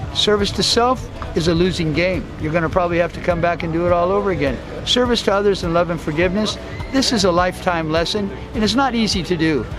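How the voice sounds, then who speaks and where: Speech rushes at a very fast pace with ordinary pitch variation, audible room echo, and music playing in the background. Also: man, high pitch for a man. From USA, partly raised in Guatemala. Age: 60s. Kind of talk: interview.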